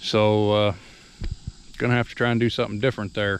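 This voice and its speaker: Light background noise sits behind the speaker. He is a man with a fairly low voice. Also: dry sound with no echo. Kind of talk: casual vlog chat. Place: farm machine. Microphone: phone near.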